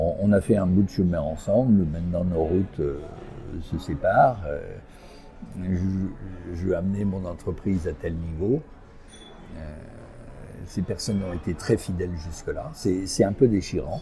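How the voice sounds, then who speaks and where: A man speaks slowly in a very deep, low voice with ordinary pitch variation, leaving long, frequent pauses. Background noise is noticeable throughout. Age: 70s. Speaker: executive coach and entrepreneur. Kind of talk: interview. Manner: hesitant, many fillers.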